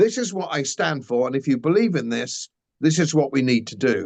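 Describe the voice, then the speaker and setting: This man speaks very fast. He has an English accent. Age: 70s. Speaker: former politician and commentator. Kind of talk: interview.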